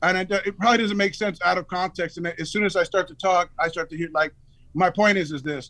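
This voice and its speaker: Talking at a very fast pace, a man with an American accent uses a high, bright, sharp voice and fairly even intonation. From California (Los Angeles), with East Coast summers. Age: 50s. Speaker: rapper. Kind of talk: interview storytelling. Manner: halting, repeated words.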